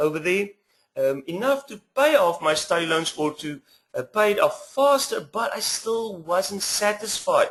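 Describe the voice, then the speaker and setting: A moderate pace in a South African accent. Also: man. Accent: Afrikaans South African. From South Africa, small west coast town. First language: Afrikaans. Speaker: internet marketer, former teacher. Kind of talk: webinar sales pitch.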